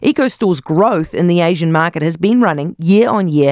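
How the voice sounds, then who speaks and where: A woman speaks in a New Zealand accent with lively intonation. The sound is dry and close, with no echo. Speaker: radio host. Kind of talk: scripted narration.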